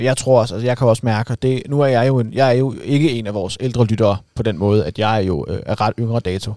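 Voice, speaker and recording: Very fast speech from a man with a dark, mellow tone, medium pitch and ordinary pitch variation, on a very clean recording with a silent background. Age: 20s. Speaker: podcast host on cars. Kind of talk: casual chat.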